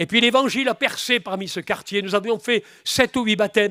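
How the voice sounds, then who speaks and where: Recorded very cleanly against a silent background, a man with a bright, sharp tone speaks at a moderate pace with ordinary pitch variation, the sound dry and close with no echo. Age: 70s. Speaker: preacher. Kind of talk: sermon. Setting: church. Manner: animated.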